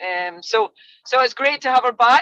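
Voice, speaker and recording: With a Scottish accent and lively intonation, a woman speaks in a bright, sharp tone, the sound dry and close with no echo. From Scotland. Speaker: college soccer coach. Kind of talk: podcast interview.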